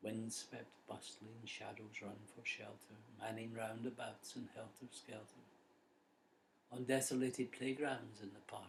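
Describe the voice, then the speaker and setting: The speaker has a Scottish accent and a somewhat breathy voice. The pace is fairly slow and the intonation monotone and flat. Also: man, medium pitch for a man. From Scotland. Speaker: poet. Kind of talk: poetry reading.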